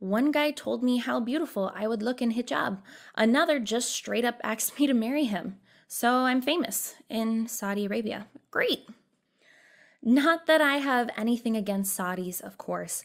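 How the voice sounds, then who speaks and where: Heard in a very clean recording with a silent background, a woman talks with ordinary pitch variation. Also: fairly high pitch for a woman, moderate pace. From Texas. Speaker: journalist and foreign affairs editor. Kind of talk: personal testimony essay read aloud.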